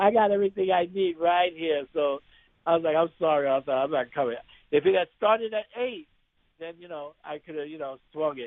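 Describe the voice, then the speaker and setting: A man with a New York accent talks at a fairly quick pace and a high pitch, with ordinary pitch variation. His loudness swings widely. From New York City (Bronx). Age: 60s. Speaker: actor. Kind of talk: interview. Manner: animated.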